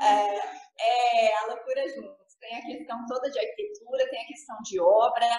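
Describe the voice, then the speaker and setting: High-pitched female voice at a moderate pace. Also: ordinary pitch variation. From Paraná, southern Brazil. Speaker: architect. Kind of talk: interview.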